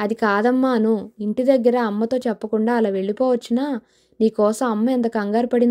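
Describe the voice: Text is read aloud plainly. Pitch stays fairly even throughout.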